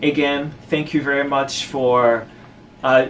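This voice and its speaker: Speech comes at a fairly slow pace with monotone, flat intonation. Noticeable background noise runs underneath. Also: man. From born in Haiti, raised in the United States. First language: Haitian Creole and French. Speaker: solo podcaster. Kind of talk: solo podcast monologue. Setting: talking to camera. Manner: casual, talkative.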